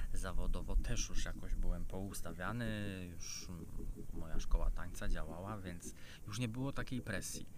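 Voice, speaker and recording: A man's fairly low voice shows big swings in loudness. Audible room echo can be heard. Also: ordinary pitch variation, moderate pace. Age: 40s. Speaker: YouTuber and dance school owner. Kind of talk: casual vlog monologue. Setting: outdoors by a river. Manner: hesitant, many fillers.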